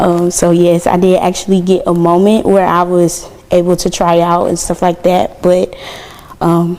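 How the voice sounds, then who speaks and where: Over noticeable background noise, a woman talks at a moderate pace with a fairly low pitch, flat monotone intonation and very even loudness. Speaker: university student, podcast guest. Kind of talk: podcast interview.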